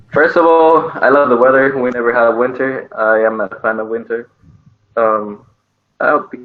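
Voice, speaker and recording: Speaking with a Dominican accent, a man uses a medium pitch and ordinary pitch variation at a moderate pace. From Dominican Republic. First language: Spanish. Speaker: student. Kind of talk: casual chat. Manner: hesitant.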